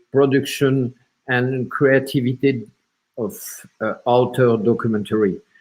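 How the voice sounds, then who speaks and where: Here a man speaks with a French accent. His pitch is medium. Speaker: film platform representative. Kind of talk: panel discussion. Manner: halting.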